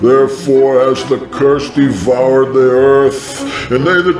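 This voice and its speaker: A man puts on a character voice against clear background noise. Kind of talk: scripture reading.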